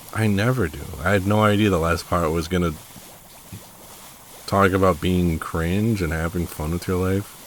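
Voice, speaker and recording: Amid noticeable background noise, a quiet man with a very deep, low pitch and fairly even intonation speaks at a moderate pace, with long, frequent pauses. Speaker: gaming YouTuber. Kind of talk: casual gameplay commentary. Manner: unscripted, rambling with fillers.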